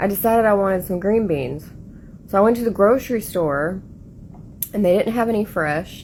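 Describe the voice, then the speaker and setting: In a Southern US accent, a woman talks at a medium pitch with ordinary pitch variation. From Appalachia, Southern US. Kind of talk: casual storytime to camera.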